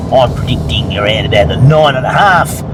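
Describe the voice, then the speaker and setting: A man talks fairly quickly amid noticeable background noise and audible echo from the room. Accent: Australian. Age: 60s. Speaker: gold prospecting vlogger. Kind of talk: casual vlog and tutorial. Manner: casual, halting with fillers.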